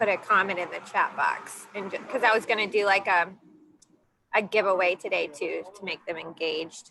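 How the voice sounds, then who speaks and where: This woman has a plain, everyday voice, a medium pitch with ordinary pitch variation, and a fairly quick pace. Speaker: guest speaker. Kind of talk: casual chat. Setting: video call from outdoors.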